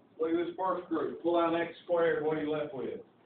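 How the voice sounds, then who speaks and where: A man with a Southern US accent, fairly high pitch, fairly even intonation and moderate pace, with audible room echo and light background noise. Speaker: high school math teacher. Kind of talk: classroom lecture. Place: classroom. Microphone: camera far.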